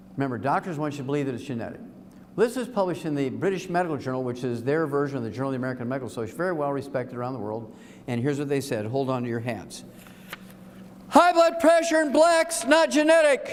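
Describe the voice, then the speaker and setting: Speaking very fast, a man is heard through noticeable background noise and audible room echo. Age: 70s. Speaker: health speaker. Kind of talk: seminar talk to live audience. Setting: room with live audience. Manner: animated.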